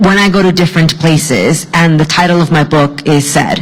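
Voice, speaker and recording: Noticeable background noise runs under this woman's speech. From Mexico, immigrated to US as a child. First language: Spanish. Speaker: author. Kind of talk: panel discussion.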